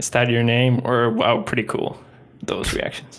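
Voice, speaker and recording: With a Swedish accent, a man speaks at medium pitch and a moderate pace. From northern Sweden. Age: 20s. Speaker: gamer. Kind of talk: casual chat.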